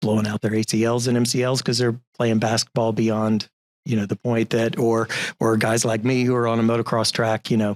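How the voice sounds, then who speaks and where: Monotone, flat intonation marks this man's medium-pitched voice at a fairly quick pace. His loudness stays very even in a dry, close sound with no echo. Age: 60s. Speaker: entrepreneur and investment manager. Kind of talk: interview. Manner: halting.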